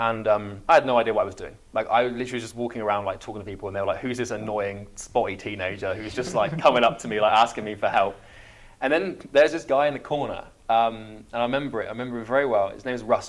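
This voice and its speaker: Talking at a very fast pace, a man uses a medium pitch with ordinary pitch variation and big swings in loudness. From England, Somerset. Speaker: entrepreneur. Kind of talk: podcast interview. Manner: halting.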